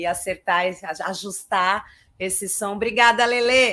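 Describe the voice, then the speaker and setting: On a very clean recording with a silent background, a woman speaks at a medium pitch. Her pace is fairly slow and her intonation fairly even. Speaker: clown and theatre artist. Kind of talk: lecture.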